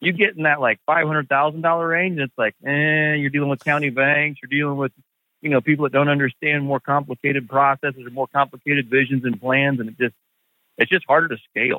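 With an American accent, a man talks at a very fast pace in a fairly high pitch with fairly even intonation. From US Midwest (Indianapolis, Indiana). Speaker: real estate investor and podcast host. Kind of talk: interview.

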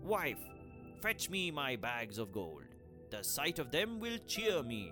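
A man's put-on character voice at a fairly slow pace and medium pitch, with clear music in the background. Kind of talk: gruff.

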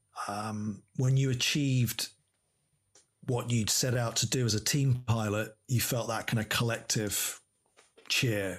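A somewhat breathy man with an English accent, medium pitch, fairly even intonation, fairly slow pace with long, frequent pauses, on a very clean recording with a silent background. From England. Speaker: air force pilot. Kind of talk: interview.

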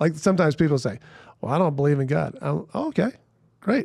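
The man talks in a fairly high, somewhat breathy voice. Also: dry, close sound with no echo. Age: 50s. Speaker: Presbyterian pastor and speaker. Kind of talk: casual chat.

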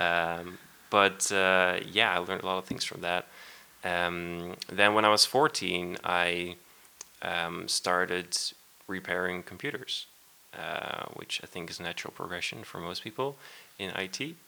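A man with a Dutch accent speaks at a fairly slow pace in a very deep, low pitch and a bright, sharp tone. His intonation stays fairly even, his loudness swings widely, and he takes long, frequent pauses. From Netherlands. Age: 20s. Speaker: software developer. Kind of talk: casual chat. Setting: at home.

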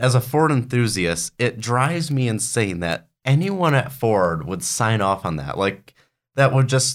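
A man with an unremarkable speaking voice at medium pitch, in a very clean recording with a silent background. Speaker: car reviewer, podcast co-host. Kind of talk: casual chat.

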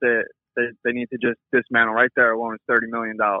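A man with a medium pitch talks with an American accent. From New York. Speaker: caller. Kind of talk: voicemail rant. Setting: phone voicemail.

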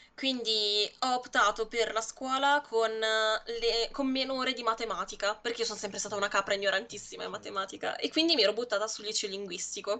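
At a fairly quick pace with hardly any pauses, a woman speaks in a plain, everyday voice, fairly high in pitch with fairly even intonation. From Lombardy, Monza Brianza. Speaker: video editor, graphic designer and streamer. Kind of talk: interview. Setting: live stream.

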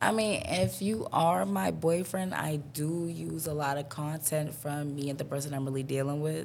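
A woman's very deep, low voice in a New York accent, moderate in pace with lively intonation and hardly any pauses, in audible room echo. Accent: New York City. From New York City (Harlem, Bronx). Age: 20s. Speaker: content creator and artist. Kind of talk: casual chat.

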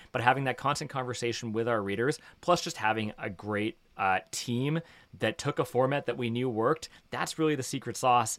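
A man with a Canadian accent and a plain, everyday voice, medium in pitch, fairly quick in pace, with ordinary pitch variation. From Canada, Toronto (Etobicoke). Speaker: media startup co-founder. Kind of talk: interview.

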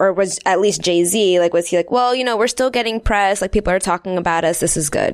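Here a woman has a normal speaking voice with a medium pitch and ordinary pitch variation. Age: 20s. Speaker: podcast co-host. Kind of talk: interview.

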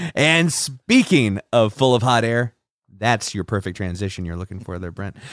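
The recording is very clean, with a silent background and a dry, close sound with no echo. A man speaks with very wide pitch swings. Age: 30s. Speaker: podcast co-host. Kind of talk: casual chat.

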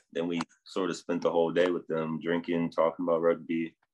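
A man speaks at a moderate pace in a New Jersey accent. His pitch is very deep and low. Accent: American, New Jersey. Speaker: rugby sevens player. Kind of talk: interview.

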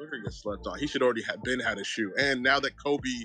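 With music in the background, a man at a medium pitch talks with fairly even intonation. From San Francisco Bay Area. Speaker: caller, Warriors fan. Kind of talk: casual sports talk. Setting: live online audio chat.

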